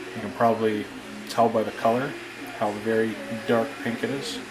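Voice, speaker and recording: Music plays behind a man speaking at a medium pitch. The room echo is audible. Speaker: prop maker. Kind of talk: tutorial. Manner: casual, hesitant with fillers; quiet while concentrating.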